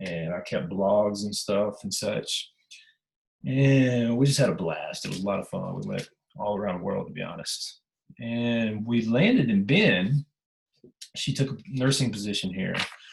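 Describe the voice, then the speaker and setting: A man talks fairly slowly with a Southern US accent. His fairly low voice has lively intonation. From US South, Memphis area (Tennessee/Mississippi). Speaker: travel writer and teacher. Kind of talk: presentation to writers group. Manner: casual, conversational with fillers.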